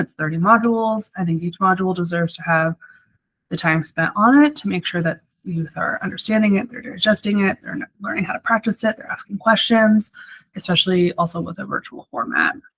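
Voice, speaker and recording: A woman speaks at a medium pitch and a fairly quick pace. Her intonation is lively. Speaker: social work student. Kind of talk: class presentation. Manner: fast; animated.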